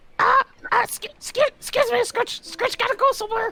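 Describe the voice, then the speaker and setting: Squeaky and extremely high-pitched, a put-on character voice moves at a moderate pace. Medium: actual play. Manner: broken speech, refers to self in third person.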